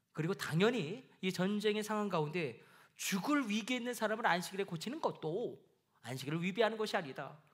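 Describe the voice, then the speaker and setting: A man's high-pitched, lively voice at a fairly quick pace, with audible room echo. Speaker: pastor. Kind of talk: sermon. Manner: fast.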